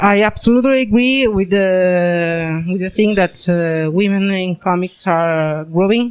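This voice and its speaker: Very slow speech with hardly any pauses, set against noticeable background noise. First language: Italian (speaking French). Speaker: comic book artist. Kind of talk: interview. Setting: comics convention. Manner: halting, many fillers.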